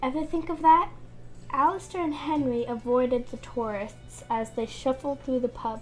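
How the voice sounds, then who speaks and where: With music in the background, a woman speaks at a high pitch and moderate pace, her pitch varying in an ordinary way. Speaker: amateur book reader. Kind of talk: reading aloud. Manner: halting.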